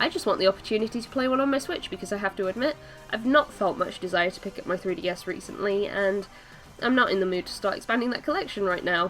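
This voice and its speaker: A woman at medium pitch, very fast pace and lively intonation, with music in the background. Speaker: gaming video creator. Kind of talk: casual talk to camera.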